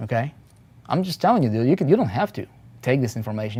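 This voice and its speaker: Speaking very fast, a man with a non-native accent has a dark, mellow tone. The background is quiet. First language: not English. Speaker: internet marketing coach. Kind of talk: live motivational webinar. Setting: live stream. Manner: animated.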